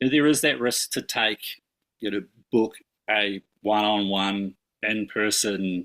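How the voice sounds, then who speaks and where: The man has a fairly low pitch and a bright, sharp tone. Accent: New Zealand. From New Zealand. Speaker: somatic sex educator. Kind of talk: podcast interview. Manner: hesitant, many fillers.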